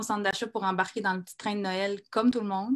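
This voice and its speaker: Speaking very fast, a woman keeps a monotone, flat intonation. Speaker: comedian. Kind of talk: spoken-word monologue read on stage.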